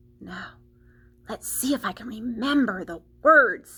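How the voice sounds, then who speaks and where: Using a put-on character voice, a woman talks at a moderate pace with a fairly high pitch. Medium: read story.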